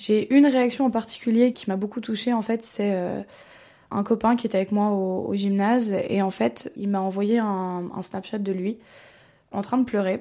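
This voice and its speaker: Speaking at a fairly slow pace, a woman uses a medium-pitched voice with a dark, mellow tone and fairly even intonation, recorded very cleanly against a silent background. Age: young. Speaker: former bullying victim. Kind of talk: testimony.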